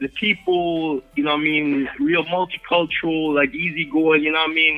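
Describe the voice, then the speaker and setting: Noticeable background noise surrounds this man's voice. He talks at a moderate pace with a fairly high pitch. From Jamaica, Kingston. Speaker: hip-hop and reggae artist. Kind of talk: casual interview.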